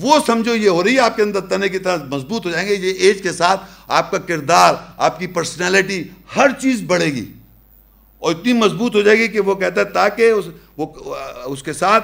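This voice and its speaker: A man with a high pitch and ordinary pitch variation is heard in a very clean recording over a silent background. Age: 50s. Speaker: religious lecturer. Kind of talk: lecture.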